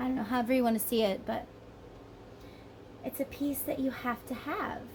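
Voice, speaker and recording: A woman with an American accent, high pitch, ordinary pitch variation, and fairly quick pace amid noticeable background noise. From northern US. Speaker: tarot reader. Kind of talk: tarot reading monologue. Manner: animated.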